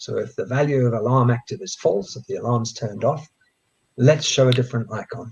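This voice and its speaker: A somewhat breathy male voice of medium pitch, dark and mellow in tone, with ordinary pitch variation. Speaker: coding educator. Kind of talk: tutorial. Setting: live stream.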